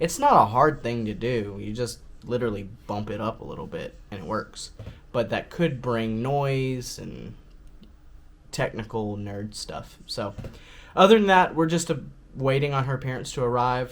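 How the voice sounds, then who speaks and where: A man mumbles at a moderate pace, his voice at a medium pitch. His pitch varies in an ordinary way while his loudness swings widely. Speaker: vlogger. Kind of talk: casual vlog talk. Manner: mumbling.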